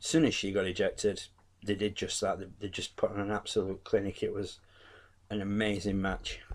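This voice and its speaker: The man has an English accent. He speaks at a fairly quick pace. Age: 40s. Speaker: wrestling YouTuber. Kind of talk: casual review monologue. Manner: animated; halting.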